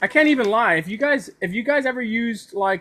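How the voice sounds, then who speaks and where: A man talks at a moderate pace in a raised, projected voice. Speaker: anime YouTuber / streamer. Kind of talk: casual live stream chat. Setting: live stream. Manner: halting, many repetitions; mumbling.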